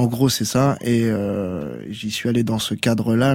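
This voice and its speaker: A man in a normal speaking voice with fairly even intonation, on a very clean recording with a silent background. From Tours, France. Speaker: reggae musician. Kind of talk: radio interview. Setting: radio studio.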